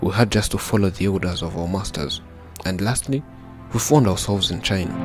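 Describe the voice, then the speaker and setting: Over music in the background, a man talks at a fairly quick pace in a fairly low pitch. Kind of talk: documentary story narration.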